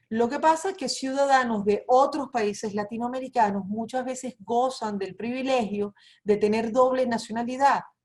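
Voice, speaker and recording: With hardly any pauses, a woman of high pitch speaks in a Venezuelan accent with ordinary pitch variation. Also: moderate pace. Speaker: immigration lawyer. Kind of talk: webinar presentation.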